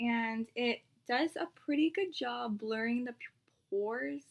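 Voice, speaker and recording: A woman with fairly high pitch and lively intonation, over a quiet background. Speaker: beauty vlogger. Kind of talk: makeup tutorial. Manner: casual, chatty. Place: home room. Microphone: webcam.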